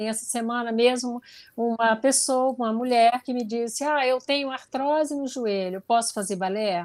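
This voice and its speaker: A woman's fairly high voice with ordinary pitch variation, dry and close with no echo. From interior of Goiás, Brazil. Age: 60s. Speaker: ballet dancer and businesswoman. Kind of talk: interview.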